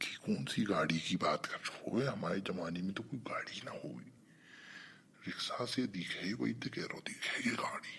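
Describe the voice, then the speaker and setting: A raspy, cartoonish character voice from a man, over light background noise. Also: moderate pace. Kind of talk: cartoon comedy dialogue.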